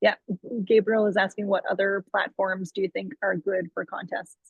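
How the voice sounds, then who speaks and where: A woman's medium-pitched voice at a moderate pace. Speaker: social media consultant. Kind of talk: webinar presentation. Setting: video call. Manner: animated.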